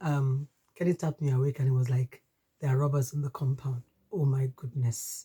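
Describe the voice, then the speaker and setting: With a Nigerian accent, a woman speaks at a fairly quick pace in a dark, mellow tone. Her voice is somewhat breathy, and the sound is dry and close with no echo. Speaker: podcast host. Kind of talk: personal testimony.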